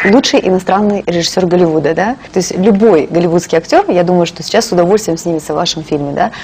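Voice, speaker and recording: There is light background noise as a woman talks at a very fast pace. Her fairly low voice has ordinary pitch variation. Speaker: TV host. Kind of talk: TV interview. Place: studio.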